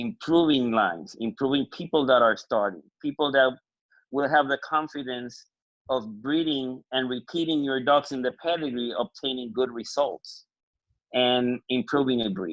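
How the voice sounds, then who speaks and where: A man talks at a moderate pace with a Puerto Rican accent. His pitch sits in the medium range. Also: ordinary pitch variation. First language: Spanish. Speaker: dog breeder. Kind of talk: panel discussion.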